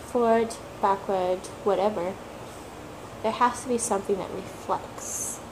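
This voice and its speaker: The speech moves at a fairly slow pace with fairly even intonation and long, frequent pauses. Noticeable background noise runs underneath. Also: woman, medium pitch for a woman. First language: not English (English is third language). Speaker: tarot reader, video blogger. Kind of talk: casual talk-to-camera monologue.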